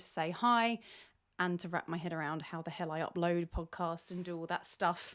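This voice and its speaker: With a British accent and a moderate pace, the voice is captured in a very clean recording with a silent background. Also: woman. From Britain. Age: 40s. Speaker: podcast host. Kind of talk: casual solo podcast monologue. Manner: rambling, many fillers.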